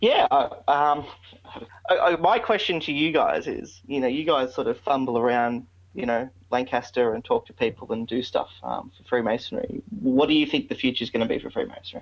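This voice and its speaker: At a moderate pace, this voice with an Australian accent shows big swings in loudness. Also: man. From Australia, Victoria. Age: 20s. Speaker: podcast host, Freemason. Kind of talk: interview. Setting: remote call.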